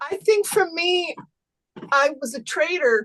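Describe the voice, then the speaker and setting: The sound is dry and close, with no echo. A woman uses a raised, projected voice. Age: 60s. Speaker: retired Wall Street trader, zoom participant. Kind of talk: casual chat.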